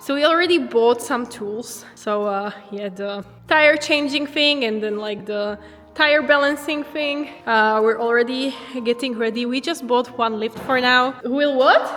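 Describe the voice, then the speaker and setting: Room echo is audible as a woman speaks at a high pitch with ordinary pitch variation. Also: fairly slow pace. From Slovakia. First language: Slovak. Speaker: drift driver and car vlogger. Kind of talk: casual vlog tour. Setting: empty garage. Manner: animated.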